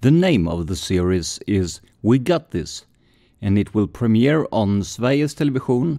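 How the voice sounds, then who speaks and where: In a very clean recording with a silent background, a man with a Swedish accent speaks at a fairly slow pace in a dark, mellow tone, his medium pitch swinging very widely. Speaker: podcast host. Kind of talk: scripted narration.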